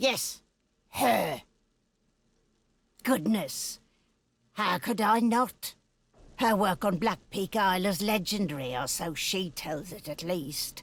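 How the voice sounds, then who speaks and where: A put-on character voice is pitched in the middle. It moves at a fairly slow pace with long, frequent pauses. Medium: video game. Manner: bitter, cold and scheming.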